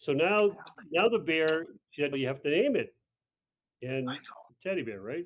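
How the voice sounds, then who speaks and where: At a fairly slow pace, a man speaks with fairly high pitch and lively intonation. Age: 60s. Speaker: retreat participant, author. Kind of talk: casual chat. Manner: halting.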